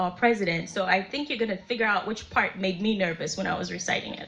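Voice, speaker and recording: A woman's voice amid noticeable background noise. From Malawi. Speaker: poet. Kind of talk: casual talk to audience. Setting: live event.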